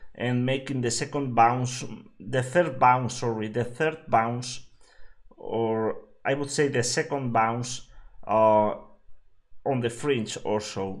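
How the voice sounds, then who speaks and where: A man's very slow, medium-pitched speech with a Spanish accent, fairly even intonation and long, frequent pauses. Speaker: game streamer. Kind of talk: live gameplay commentary. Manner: halting, many fillers.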